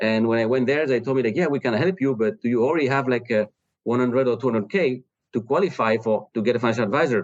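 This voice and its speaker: A man talks at a very fast pace. He has a French accent. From France. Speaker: startup founder. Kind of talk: interview. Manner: halting, many fillers.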